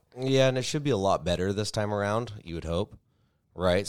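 A man's voice with ordinary pitch variation. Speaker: podcast co-host. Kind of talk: casual chat. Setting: home studio, recorded for livestream.

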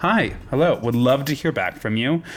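With an ordinary speaking voice, a man talks at a moderate pace with lively intonation. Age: 30s. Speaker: podcast host. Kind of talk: casual chat. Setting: studio.

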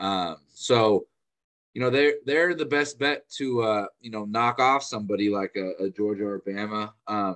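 A man's normal speaking voice, fairly low in pitch with ordinary variation, at a fairly slow pace in a dry, close sound with no echo. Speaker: sports analyst. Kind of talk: casual sports analysis chat. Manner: casual, filler-heavy, conversational.

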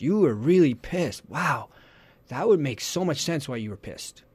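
At a fairly quick pace, a man's somewhat breathy voice swings very widely in pitch. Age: 40s. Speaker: parenting coach. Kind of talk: interview. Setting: radio studio.

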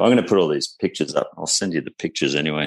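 A man with an Australian accent speaks at a very deep, low pitch. The sound is dry and close, with no echo. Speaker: podcast guest, motorbike traveller. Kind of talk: casual chat.

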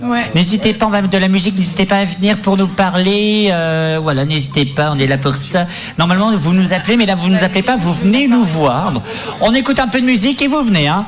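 Over noticeable background noise, a man speaks at a high pitch and fairly quick pace, with lively intonation and very even loudness. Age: 20s. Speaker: radio host. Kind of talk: live radio show patter, banter with co-hosts. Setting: live studio at a festival.

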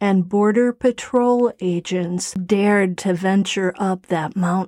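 With a dark, mellow tone and medium pitch, a woman speaks very slowly and dramatically with ordinary pitch variation, the sound dry and close with no echo. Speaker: podcast host. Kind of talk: true-crime ghost story narration. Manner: hushed, suspenseful, slow dramatic pacing; storyteller, building dread.

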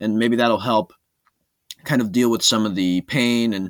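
A man with a plain, everyday voice talks at a fairly quick pace, with a medium pitch and ordinary pitch variation. The recording is very clean with a silent background and a dry, close sound with no echo. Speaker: podcast co-host, football fan. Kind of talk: casual sports chat podcast.

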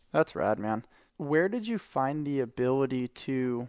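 Fairly slow and at medium pitch, a man talks in an unremarkable speaking voice. The recording is very clean and dry, close with no echo and a silent background. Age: 30s. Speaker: podcast host. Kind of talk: casual chat.

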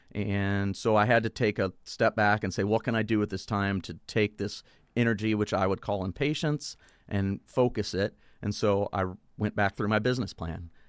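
In a very clean recording with a silent background, a man with a plain, everyday voice speaks at a moderate pace and a fairly low pitch. The sound is dry and close with no echo, and his intonation is fairly even. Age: 40s. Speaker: brewery owner. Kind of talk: casual chat.

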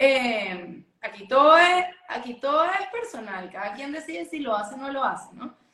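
A woman with a Venezuelan accent speaks in a raised, projected voice at a high pitch. Her pitch swings very widely at a moderate pace. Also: big swings in loudness. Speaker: essential oils entrepreneur. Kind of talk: interview.

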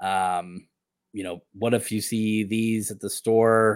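A man is the speaker. He keeps a fairly even intonation. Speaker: guest, Pudgy Penguin holder. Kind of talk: casual chat. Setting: live stream.

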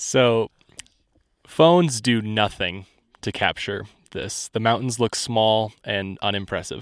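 The speaker talks at a very slow pace, with long, frequent pauses and ordinary pitch variation. The recording is very clean, with a silent background. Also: man, fairly low pitch for a man. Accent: Midwestern American. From US Midwest, Indiana. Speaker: production assistant and assistant editor. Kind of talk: casual chat. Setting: outdoors on a mountaintop.

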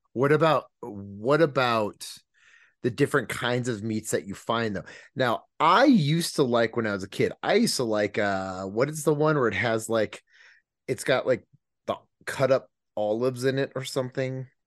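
With an unremarkable speaking voice, a man talks at medium pitch and a moderate pace with ordinary pitch variation against a quiet background. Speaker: podcast host. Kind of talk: casual chat. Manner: jokey, rambling.

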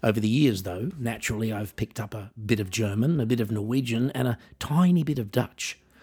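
With an Australian accent, a man talks at a fairly quick pace with hardly any pauses, his somewhat breathy voice carrying a dark, mellow tone. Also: medium pitch for a man, ordinary pitch variation. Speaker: podcast host and musician. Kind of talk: scripted monologue.

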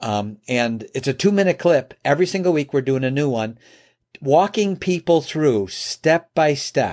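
With an American accent, a man with an ordinary speaking voice and a fairly high pitch talks fairly slowly in a very clean recording with a silent background and a dry, close sound with no echo. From US Midwest, Chicago area. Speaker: business trainer and entrepreneur. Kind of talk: interview conversation.

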